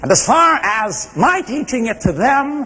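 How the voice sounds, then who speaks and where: A man's voice over noticeable background noise. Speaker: public speaker. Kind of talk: competitive speech to audience.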